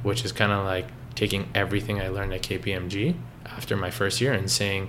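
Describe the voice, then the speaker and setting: Audible room echo and noticeable background noise surround this voice, which has a Canadian accent. The pace is fairly quick, with ordinary pitch variation. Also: man. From Canada, Toronto area (Richmond Hill). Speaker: coffee shop co-owner, former accountant. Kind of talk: interview.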